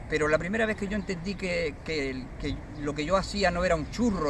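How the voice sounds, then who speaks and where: The man's high voice moves at a moderate pace with ordinary pitch variation. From Andalusia, Cádiz province (Vejer, Barbate). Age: 60s. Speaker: poet. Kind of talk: interview. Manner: halting, many fillers and repetitions.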